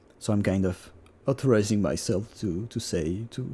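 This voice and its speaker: A man with a French accent speaks at a fairly low pitch in a dark, mellow, somewhat breathy tone. His pace is moderate and his pitch variation ordinary. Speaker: digital artist. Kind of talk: tutorial. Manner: halting; unscripted.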